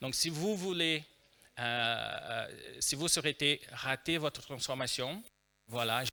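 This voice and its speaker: Using a bright, sharp tone and a Brazilian accent, a fairly high-pitched man speaks at a very slow pace with ordinary pitch variation on a very clean recording with a silent background. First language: Portuguese (speaking French). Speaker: agile trainer and consultant. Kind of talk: conference talk. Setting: stage with audience. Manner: hesitant, many fillers.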